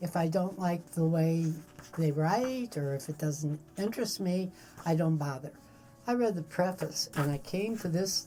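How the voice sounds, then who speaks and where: A woman's somewhat breathy voice, dark and mellow in tone, fairly low in pitch, with ordinary pitch variation and a fairly slow pace. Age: 80s+. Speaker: book reviewer. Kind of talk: casual chat.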